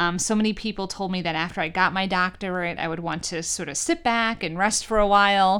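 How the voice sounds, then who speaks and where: A woman's unremarkable speaking voice with an American accent, medium in pitch, at a moderate pace, in a very clean recording with a silent background. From New York. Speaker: college president and podcast host. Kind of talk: scripted monologue; casual interview.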